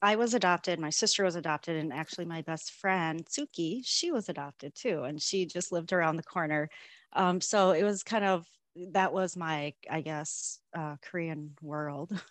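Over a quiet background, a woman speaks at a moderate pace in a fairly low voice with ordinary pitch variation. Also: dry sound with no echo. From Minnesota, US. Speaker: Korean adoptee, corporate employee. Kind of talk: interview. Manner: hesitant with fillers. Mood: warm, reflective. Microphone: video call.

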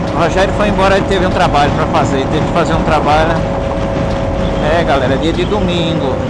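Speaking at a very fast pace with ordinary pitch variation, the voice competes with loud background noise. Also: man. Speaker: motorcycle rider vlogger. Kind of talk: casual moto vlog chat. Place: motorbike. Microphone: helmet.

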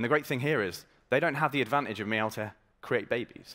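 A man with an energetic, confident tone at a very fast pace, over a quiet background. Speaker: startup marketing executive. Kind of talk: startup pitch presentation. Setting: stage with audience. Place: stage.

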